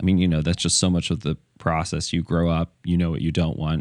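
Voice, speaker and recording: A man's very deep, low pitch comes with fairly even intonation in a dry, close sound with no echo. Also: very clean recording, silent background. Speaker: educator and podcast host. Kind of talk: casual chat.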